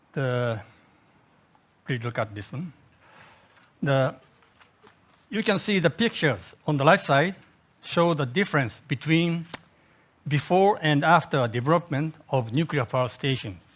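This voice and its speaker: The speaker goes at a fairly slow pace and sounds somewhat breathy. Long, frequent pauses break up the speech. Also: man, fairly high pitch for a man, lively intonation. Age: 70s. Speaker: nuclear industry advisor. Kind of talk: conference presentation. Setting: seminar. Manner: halting.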